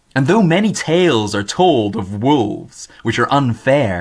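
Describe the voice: Simple, plain reading aloud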